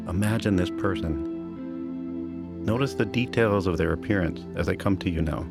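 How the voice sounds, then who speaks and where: With music in the background, a man speaks at a very deep, low pitch with lively intonation, very even loudness, and hardly any pauses. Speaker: meditation teacher. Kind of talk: guided meditation. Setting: studio. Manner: calm, slow.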